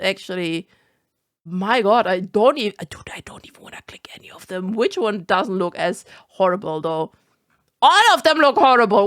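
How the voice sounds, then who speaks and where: A woman's medium-pitched voice in a German accent, animated in tone with lively intonation, at a moderate pace, dry and close with no echo on a very clean recording with a silent background. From Germany. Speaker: vtuber. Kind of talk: reaction commentary.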